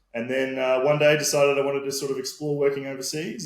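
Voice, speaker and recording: Speaking at a fairly quick pace, a man with an Australian accent has a medium-pitched voice. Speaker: sales and marketing manager. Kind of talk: podcast interview.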